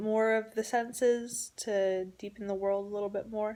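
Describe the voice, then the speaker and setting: A woman speaks at a fairly slow pace and a fairly high pitch. Her intonation is monotone and flat. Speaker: author vlogger. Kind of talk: personal vlog diary.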